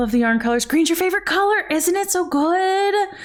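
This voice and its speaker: A woman is speaking. Her pitch moves in very wide swings. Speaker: livestreamer knitting on stream. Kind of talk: casual live stream chat. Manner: loud.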